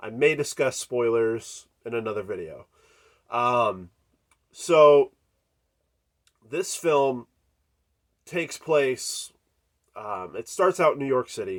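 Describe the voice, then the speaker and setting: Very slowly, a man talks, stopping often for long pauses. His loudness swings widely. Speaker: horror movie YouTuber. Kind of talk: casual video review. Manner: casual with many filler ums.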